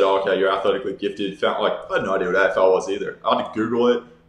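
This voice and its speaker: Over noticeable background noise, a man with an American accent talks at a very fast pace. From Texas. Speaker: professional Australian football player. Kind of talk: casual interview chat. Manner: casual, filler-heavy.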